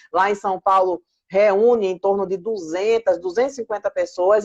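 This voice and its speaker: At a moderate pace, a woman speaks in a warm, animated tone with ordinary pitch variation, the sound dry and close with no echo. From Pernambuco, Brazil. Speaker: book editorial coordinator. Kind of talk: live stream chat.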